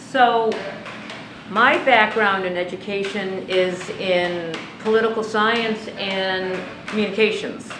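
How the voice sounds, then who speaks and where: Amid audible room echo and noticeable background noise, a woman of medium pitch speaks at a very slow pace with fairly even intonation. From New England, born in Italy. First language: Italian. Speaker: cannabis retail manager. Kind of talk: interview.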